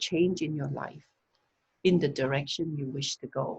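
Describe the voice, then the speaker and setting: A woman talks at a fairly slow pace. Her voice is somewhat breathy with fairly even intonation. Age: 60s. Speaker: wellness teacher. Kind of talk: talk on a video call. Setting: video call.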